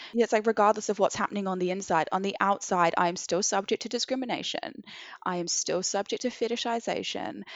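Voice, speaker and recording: Speaking at a very fast pace, a woman with a New Zealand accent uses a medium pitch. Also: ordinary pitch variation. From New Zealand, Christchurch. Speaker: activist and charity co-founder. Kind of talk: casual chat.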